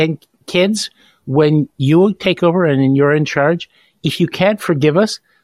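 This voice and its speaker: A man's unremarkable speaking voice, fairly high, with ordinary pitch variation, a moderate pace and a dry, close sound with no echo. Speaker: podcast host. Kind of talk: interview.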